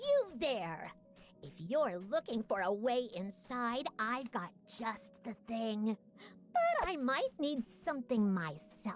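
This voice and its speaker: This is a put-on character voice, female-sounding and shrill at a fairly high pitch. It moves at a fairly slow pace. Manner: calling out to get attention.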